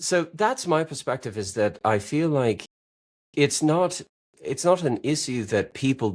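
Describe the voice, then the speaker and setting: In a very clean recording with a silent background, a man talks at a moderate pace with vocal fry and very wide pitch swings. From central Wisconsin. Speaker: podcast guest, money mindset commentator. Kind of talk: casual interview chat.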